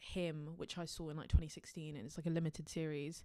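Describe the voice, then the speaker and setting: A woman's fairly low voice with a South London accent, on a very clean recording with a silent background. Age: young. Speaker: singer-songwriter. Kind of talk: interview monologue. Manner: hesitant, many fillers.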